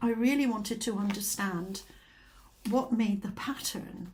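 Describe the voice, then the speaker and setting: With a Scottish accent, a woman speaks at medium pitch, somewhat breathy, with fairly even intonation. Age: 70s. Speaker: craft vlogger. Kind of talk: casual chat. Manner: hesitant, many fillers.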